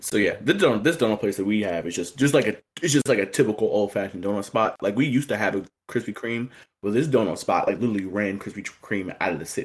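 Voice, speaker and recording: Speaking at a very fast pace, a man with a fairly low pitch and an American accent uses ordinary pitch variation. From Indiana. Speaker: podcaster. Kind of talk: casual chat.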